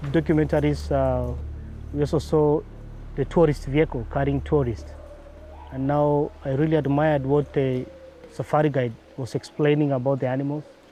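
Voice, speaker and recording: A man is talking at a moderate pace. There's music behind him. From Kenya, Laikipia (Doldol). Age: 30s. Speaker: safari guide. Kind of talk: documentary interview. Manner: halting, with many fillers.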